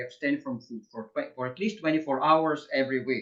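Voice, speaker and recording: Speaking at a moderate pace, a man with a fairly high pitch has an unremarkable speaking voice. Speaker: webinar host. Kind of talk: webinar introduction.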